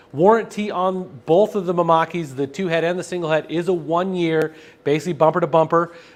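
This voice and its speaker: A man speaks loudly at a fairly quick pace with a high pitch. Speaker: sales presenter for printing supplies. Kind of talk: live stream product demo with Q&A. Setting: live stream studio with camera over printer.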